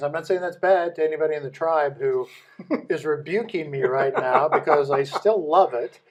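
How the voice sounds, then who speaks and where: In an American accent, a man with an ordinary speaking voice talks at a fairly slow pace and a fairly high pitch. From US Midwest. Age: 60s. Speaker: business leader. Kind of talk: podcast interview.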